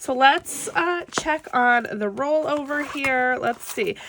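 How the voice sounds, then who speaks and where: Raising and projecting her voice, a woman speaks at a high pitch over noticeable background noise. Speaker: budgeting vlogger. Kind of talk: casual chat. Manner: casual, unprepared.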